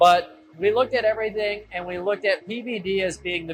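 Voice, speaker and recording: A man with a high pitch and ordinary pitch variation talks at a fairly quick pace with music in the background. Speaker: lighting company owner. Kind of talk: factory tour explanation. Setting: factory machine room. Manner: loud.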